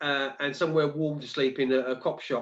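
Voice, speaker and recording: A man talks at a moderate pace in a London accent. His pitch sits fairly high. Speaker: live stream host. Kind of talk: casual chat.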